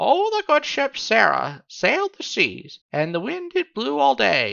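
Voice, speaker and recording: A shrill, put-on character voice speaks at a fairly slow pace. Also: man, high pitch for a man. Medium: read story. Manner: shrill, repetitive.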